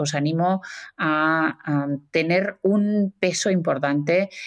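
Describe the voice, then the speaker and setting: A woman with a normal speaking voice talks with ordinary pitch variation. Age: 50s. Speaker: author and communication expert. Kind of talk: interview.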